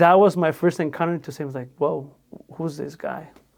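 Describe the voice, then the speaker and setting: In a very clean recording with a silent background, a man with a Spanish accent speaks at a moderate pace and a fairly high pitch. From Mexico. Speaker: podcast host. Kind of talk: casual faith-based interview conversation.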